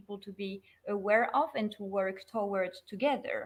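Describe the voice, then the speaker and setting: A woman speaks with a French accent at a fairly high pitch. Her intonation stays fairly even. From France. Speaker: sustainability consultant. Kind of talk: online interview.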